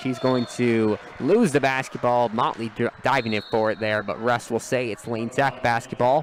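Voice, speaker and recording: A man at a moderate pace, fairly even in intonation, over noticeable background noise. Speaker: sports play-by-play broadcaster. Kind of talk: live sports play-by-play commentary. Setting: high school gymnasium broadcast.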